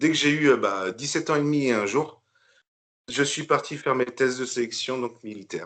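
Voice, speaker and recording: A man with a medium pitch and ordinary pitch variation keeps to a moderate pace. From northern France (Picardy). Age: 40s. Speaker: bodybuilder, retired military. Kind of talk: podcast interview. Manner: hesitant, many fillers.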